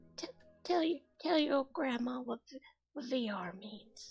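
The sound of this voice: In a shaky put-on character voice, a female-sounding speaker goes at a moderate pace and a high pitch.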